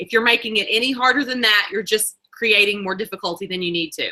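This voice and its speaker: A woman with a Southern US accent speaks at a fairly high pitch in a bright, sharp tone, with ordinary pitch variation. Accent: Southern US twang. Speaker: network marketing leader. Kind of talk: motivational talk. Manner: fast.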